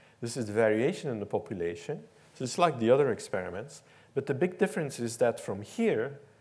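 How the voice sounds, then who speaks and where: Speaking at a very fast pace with a Dutch accent, a man uses medium pitch, very wide pitch swings, and vocal fry. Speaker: professor. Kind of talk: lecture. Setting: stage with audience.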